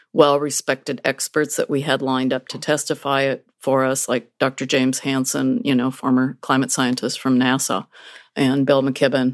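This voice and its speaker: A woman's very deep, low-pitched voice in a dry, close sound with no echo. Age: 60s. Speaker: climate activist, retired lawyer. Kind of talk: radio interview. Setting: remote from Seattle.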